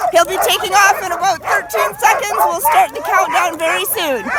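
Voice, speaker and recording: Crowd noise fills the background as a woman speaks. Her pitch is extremely high, with lively intonation. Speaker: race announcer. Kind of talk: live event announcing. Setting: outdoors, poor audio.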